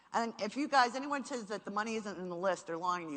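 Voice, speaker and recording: A woman with a New York accent sounds animated, with lively intonation. The background is quiet. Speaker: marketing speaker. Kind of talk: seminar talk.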